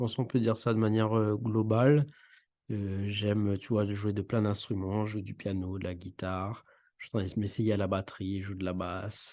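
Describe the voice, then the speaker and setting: A man talks at a moderate pace with a dark, mellow tone. His intonation is monotone and flat, and the background is quiet. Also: fairly low pitch for a man. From Réunion (Saint-Benoît, east). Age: 30s. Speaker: podcast co-host, engineer. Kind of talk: casual interview chat. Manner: hesitant, many fillers.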